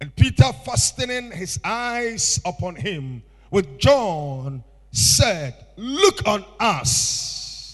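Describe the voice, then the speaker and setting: A man with a Ghanaian accent, high in pitch, at a very slow pace, with very wide pitch swings and big swings in loudness. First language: Akan (Twi/Fante). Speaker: bishop. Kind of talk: sermon. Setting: church. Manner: animated.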